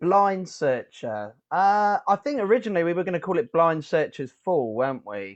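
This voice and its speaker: In a southern English accent, a man speaks at a high pitch with very wide pitch swings. His moderate pace has hardly any pauses, and the background is quiet. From southern England. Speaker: rock band musician. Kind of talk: interview. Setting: video call.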